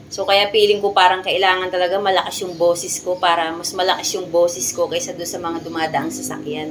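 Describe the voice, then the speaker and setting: A woman at a fairly quick pace, with noticeable background noise. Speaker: gardening vlogger. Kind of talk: casual vlog tutorial. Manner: loud; animated.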